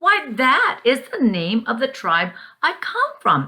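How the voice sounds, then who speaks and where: The pitch of this woman's voice is high. She is using a put-on character voice. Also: fairly slow pace, very even loudness. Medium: read story.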